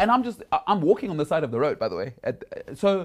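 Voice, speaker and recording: A man's voice swings very widely in pitch in a very clean recording with a silent background. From South Africa. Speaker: podcast host. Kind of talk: interview conversation.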